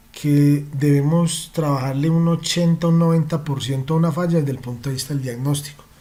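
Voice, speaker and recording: Somewhat breathy, a man talks at a fairly high pitch with a dark, mellow tone. His intonation is fairly even, the pace fairly slow, with audible room echo. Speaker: automotive diagnostics trainer. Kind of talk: online training lecture. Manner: passionate.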